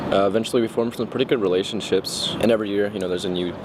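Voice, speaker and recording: Over noticeable background noise, a man with an American accent talks at a very fast pace with fairly even intonation. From Texas, Houston. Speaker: college student. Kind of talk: documentary interview.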